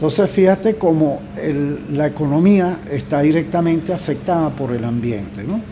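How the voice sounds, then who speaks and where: Lively intonation from a man with a fairly high pitch at a moderate pace, amid noticeable background noise. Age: 70s. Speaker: journalist and environmental foundation founder. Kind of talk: podcast interview. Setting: studio, seated across from host.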